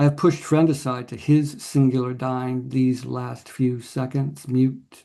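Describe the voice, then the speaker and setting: A man speaks in a medium pitch with a dark, mellow tone and an American accent. His delivery is fairly slow, with monotone, flat intonation. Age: 70s. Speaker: poet. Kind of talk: poetry reading; casual talk between poems. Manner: halting with fillers.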